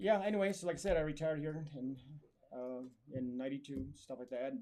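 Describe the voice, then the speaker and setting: With an American accent, a man talks at a fairly quick pace in a fairly high pitch, his tone dark and mellow and his pitch variation ordinary. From Arizona (Springerville). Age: 70s. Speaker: army veteran and DJ. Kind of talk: interview.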